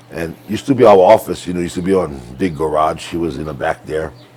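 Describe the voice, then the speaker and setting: Noticeable background noise runs under speech with lively intonation. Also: man. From Hawaii, Maui. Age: 60s. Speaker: ranch cowboy. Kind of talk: casual chat.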